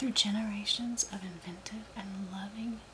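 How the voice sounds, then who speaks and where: A soft-spoken woman talks at a fairly slow pace with ordinary pitch variation over noticeable background noise. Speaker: ASMR creator. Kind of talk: reading aloud from a book. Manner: soft-spoken, slow.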